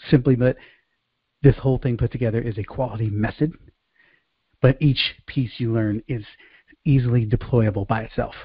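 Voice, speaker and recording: A somewhat breathy male voice with long, frequent pauses. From Bronx, New York City, Puerto Rican heritage. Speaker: sales coach. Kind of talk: online training presentation. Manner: fast; high energy.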